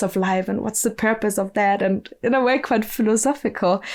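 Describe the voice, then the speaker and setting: On a very clean recording with a silent background, a woman with a German accent talks at a moderate pace. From southern Germany (Bavaria), rural. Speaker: musician and ecovillage network staff. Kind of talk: podcast interview. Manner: hesitant, many fillers and restarts.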